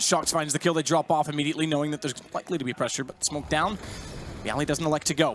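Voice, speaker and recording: A man at a very fast pace and fairly high pitch, with noticeable background noise. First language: not English. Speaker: esports commentator. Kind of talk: live commentary.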